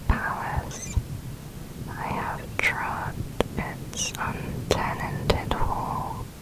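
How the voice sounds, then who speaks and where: Whispering at a very slow pace amid noticeable background noise. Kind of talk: ASMR poetry reading.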